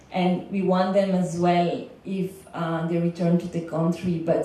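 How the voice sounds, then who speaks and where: A woman speaks in a fairly low pitch with monotone, flat intonation. The room echo is audible, and background noise is noticeable. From Belgium. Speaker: legal consultant for migrant workers. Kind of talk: panel talk. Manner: some hesitation and filler words.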